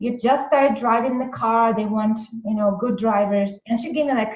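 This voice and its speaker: A woman speaks with a Russian accent and lively intonation. Audible room echo surrounds her voice. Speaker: entrepreneur and business coach. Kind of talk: interview storytelling.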